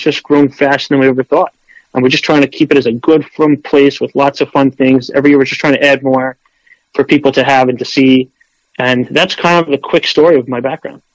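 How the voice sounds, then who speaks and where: In a dry, close recording with no echo, a man with an American accent speaks at a fairly quick pace in a fairly high pitch with monotone, flat intonation. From Queens, New York. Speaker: farmer and pizza shop owner. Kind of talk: interview. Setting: phone call.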